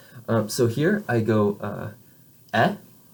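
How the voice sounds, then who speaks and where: A somewhat breathy man of medium pitch with an American accent. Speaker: French teacher. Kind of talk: lecture. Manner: halting, many fillers.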